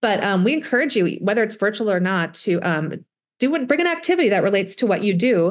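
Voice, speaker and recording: Against a quiet background, a woman talks at a fairly quick pace in a medium pitch with lively intonation. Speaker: STEM education specialist. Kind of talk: workshop presentation. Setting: video call. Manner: fast talker.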